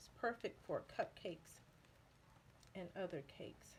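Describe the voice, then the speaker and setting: A woman speaks at a fairly slow pace in a medium pitch, her voice somewhat breathy. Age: 50s. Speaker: baking video creator and author. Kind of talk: tutorial. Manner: casual, conversational.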